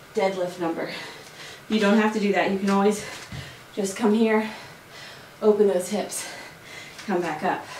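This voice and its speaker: Over light background noise and audible room echo, a woman talks at a moderate pace in monotone, flat intonation. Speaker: fitness instructor. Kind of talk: workout tutorial instruction. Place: home room. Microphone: camera far.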